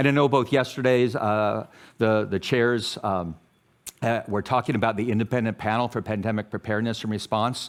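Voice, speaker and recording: An ordinary speaking voice from a man with an American accent, medium pitch, fairly even intonation and a fairly quick pace. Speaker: public health academic, journal editor. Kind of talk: conference talk.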